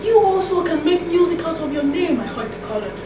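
A woman talks at a fairly quick pace. There is noticeable noise in the background. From Nigeria. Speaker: poet. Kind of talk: poem performed, spoken-word poetry reading to a live audience. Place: classroom. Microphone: camera far.

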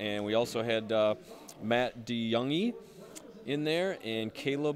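A man speaks at a medium pitch. His intonation is lively.

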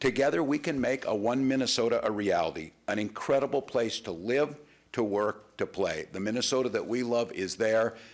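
A man's voice with vocal fry and lively intonation. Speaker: politician giving statement. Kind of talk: prepared statement to press. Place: hall. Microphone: podium.

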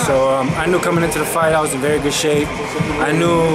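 A man talks at a very fast pace, with music clearly audible behind him. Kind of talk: interview answer. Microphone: phone near.

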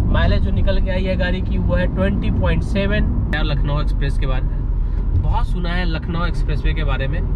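A man talks with hardly any pauses. Loud background noise surrounds a dry sound with no echo. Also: moderate pace. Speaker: vlogger. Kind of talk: casual vlog chat. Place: car. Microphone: camera far.

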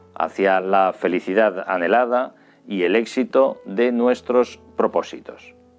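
A man's voice over faint music in the background. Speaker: journalist, communication teacher, radio and TV presenter. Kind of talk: educational course introduction to camera. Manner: polished, articulate, professional broadcaster delivery. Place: home room. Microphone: studio mic.

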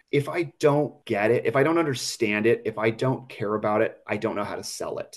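A man at a fairly quick pace with hardly any pauses. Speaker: scale model car dealer and collector. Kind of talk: casual interview chat.

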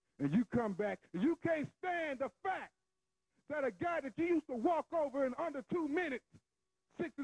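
A man with an American accent speaks at an extremely high pitch. His intonation is lively and his pace moderate. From Southern US. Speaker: professional wrestler. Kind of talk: wrestling promo. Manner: boastful, taunting. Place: studio. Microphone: handheld.

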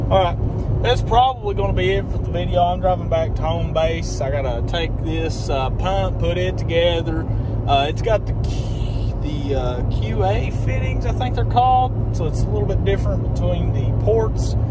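A man talks at a moderate pace with hardly any pauses, the sound dry with no echo and loud background noise behind him. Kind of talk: casual vlog chat. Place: car. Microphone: phone near.

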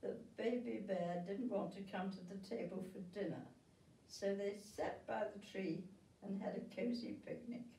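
The reading voice is unforced.

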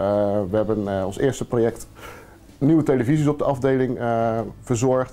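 A man's voice carries a dark, mellow tone and fairly even intonation. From Netherlands. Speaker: charity founder. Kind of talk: interview. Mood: earnest, calm. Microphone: lapel.

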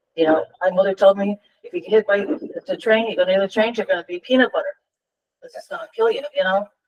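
A woman talks at a very fast pace with ordinary pitch variation, in a dry, close sound with no echo. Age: 70s. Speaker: resident speaking at public meeting. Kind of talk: public comment. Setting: village board meeting. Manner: animated.

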